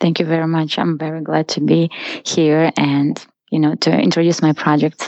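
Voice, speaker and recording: A woman talks at a moderate pace with a very deep, low pitch. Her intonation is monotone and flat. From Russia. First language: Russian. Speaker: photographer. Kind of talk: interview.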